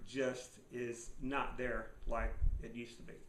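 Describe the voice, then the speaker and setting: Audible room echo surrounds this man's voice. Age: 60s. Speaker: survival and finance video blogger. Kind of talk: casual monologue. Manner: halting, many fillers.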